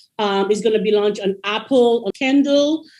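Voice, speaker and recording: A woman speaks at a moderate pace in a fairly high pitch with a dark, mellow tone and ordinary pitch variation. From Caribbean. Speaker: educator and author. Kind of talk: interview.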